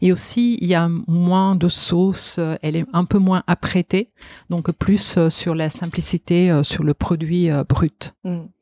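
In an Italian accent, a woman speaks at a very slow pace with a fairly low pitch, fairly even intonation and a dark, mellow tone. The recording is very clean with a silent background, dry and close with no echo. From Italy, Genoa and Parma region. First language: Italian (speaking French). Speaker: food writer and former grocer. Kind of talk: interview. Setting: at her home.

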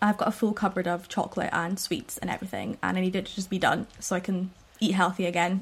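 A woman talks at a very fast pace. Her voice is somewhat breathy and medium in pitch. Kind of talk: casual chat podcast. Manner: chatty, upbeat.

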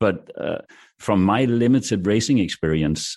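A man talking at a fairly slow pace over a quiet background. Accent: Danish. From Denmark. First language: Danish. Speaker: broadcaster. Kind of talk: casual panel discussion. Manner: halting.

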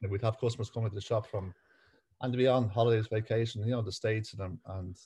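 A man's fairly low, somewhat breathy voice with a dark, mellow tone, fairly even intonation and a Dublin accent, over a quiet background. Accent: Dublin Irish. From Ireland, Dublin. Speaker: butcher business owner. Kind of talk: interview.

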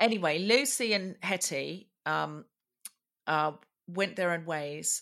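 A woman with an Australian accent speaks in a bright, sharp tone at a fairly low pitch. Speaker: comedian and podcast host. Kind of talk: interview.

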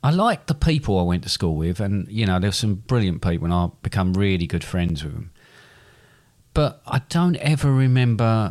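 On a very clean recording with a silent background, a man with an English accent speaks at a moderate pace in a fairly low voice with very wide pitch swings. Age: 50s. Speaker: podcast co-host, father. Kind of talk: quiz; casual chat.

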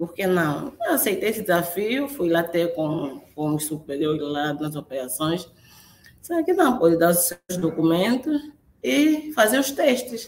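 Speaking at a fairly slow pace, a woman with a fairly low pitch shows very wide pitch swings. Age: 30s. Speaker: crane operator. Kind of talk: interview. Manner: halting.

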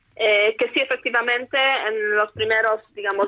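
A woman with an ordinary speaking voice talks at a moderate pace in a fairly high pitch, the sound dry and close with no echo. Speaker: international relations professor. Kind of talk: interview.

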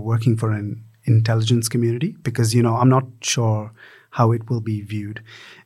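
On a very clean recording with a silent background, a somewhat breathy voice moves at a fairly quick pace with fairly even intonation. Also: man.

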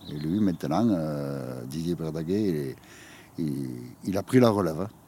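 This man's pitch is very deep and low, with lively intonation. He moves at a fairly slow pace with long, frequent pauses. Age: old. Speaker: retired shepherd. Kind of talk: interview testimony. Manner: halting, many hesitations.

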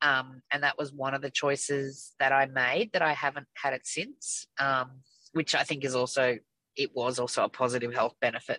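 The voice has a bright, sharp tone, captured in a very clean, dry, close recording with no echo and a silent background. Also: woman. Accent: Australian. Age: 50s. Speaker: weight loss surgery patient. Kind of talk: casual chat.

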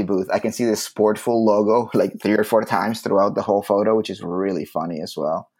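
In a very clean recording with a silent background, a man with a plain, everyday voice speaks at a fairly quick pace and a fairly low pitch. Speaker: podcast host. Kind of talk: casual chat. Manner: joking, casual.

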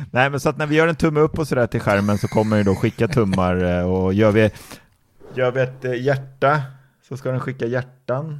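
On a very clean recording with a silent background, a man in an ordinary speaking voice talks at a moderate pace and medium pitch, with ordinary pitch variation. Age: 20s. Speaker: tech podcast co-host. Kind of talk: casual chat.

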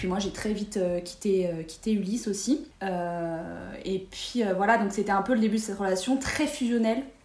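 A woman's medium-pitched voice at a fairly slow pace, with audible room echo and noticeable background noise. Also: ordinary pitch variation. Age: 20s. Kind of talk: casual chat.

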